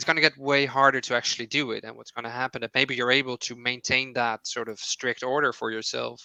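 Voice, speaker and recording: A very fast voice with hardly any pauses, flat and monotone in intonation, bright and sharp in tone. Loudness swings widely, and the sound is dry and close with no echo over a quiet background. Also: man, medium pitch for a man. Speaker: psychologist. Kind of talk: webinar Q&A answer.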